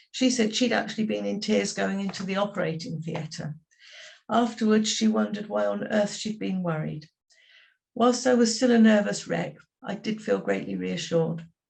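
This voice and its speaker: Speaking with an English accent, a woman keeps a moderate pace. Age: 70s. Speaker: patient sharing experience. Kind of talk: testimony.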